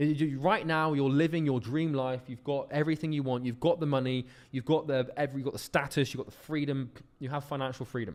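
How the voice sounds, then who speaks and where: A man with a British accent, fairly high-pitched, very fast, fairly even in intonation but with big swings in loudness, on a very clean recording with a silent background. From United Kingdom. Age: 20s. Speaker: business coach. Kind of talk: lecture.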